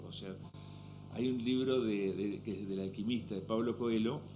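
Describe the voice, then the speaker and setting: Spoken with an Argentine accent at a fairly quick pace, the voice has fairly even intonation and audible room echo. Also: man. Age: 60s. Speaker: businessman and author. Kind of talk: interview conversation.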